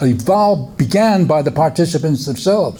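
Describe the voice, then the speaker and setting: A man's fairly high voice at a fairly quick pace, with very wide pitch swings, audible room echo and noticeable background noise. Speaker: therapeutic community researcher and workshop presenter. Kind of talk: workshop lecture. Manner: fast; halting, many restarts.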